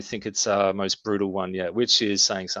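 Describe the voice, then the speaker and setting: A man's fairly low voice at a moderate pace, with an Australian accent. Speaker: metal band frontman. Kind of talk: casual interview chat.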